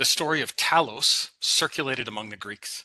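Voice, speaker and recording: With a slight Saskatchewan accent, a man talks in a bright, sharp tone, the sound dry and close with no echo and the background quiet. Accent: slight Saskatchewan Canadian. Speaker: PhD student presenter, data scientist. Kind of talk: academic presentation.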